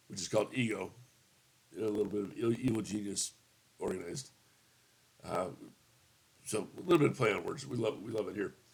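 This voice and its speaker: The voice is somewhat breathy, with lively intonation and long, frequent pauses. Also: man, fairly low pitch for a man, fairly quick pace. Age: 50s. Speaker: tabletop gaming youtuber. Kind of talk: casual video review. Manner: hesitant, many fillers.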